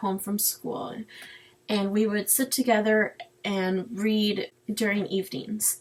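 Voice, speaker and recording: A somewhat breathy woman's voice, fairly high in pitch, with a Spanish accent. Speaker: student. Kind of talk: personal narrative presentation.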